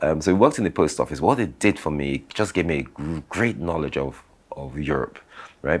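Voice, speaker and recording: A man's fairly quick, lively-intoned speech with vocal fry. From London, England (70s), later Nigeria. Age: 60s. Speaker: business founder and architect. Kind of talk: interview storytelling. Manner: hesitant, repeats words.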